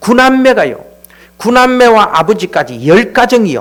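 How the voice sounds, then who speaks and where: At a moderate pace, a man talks in an extremely high-pitched voice. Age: 60s. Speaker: church elder. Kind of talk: testimony. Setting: church. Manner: casual, conversational.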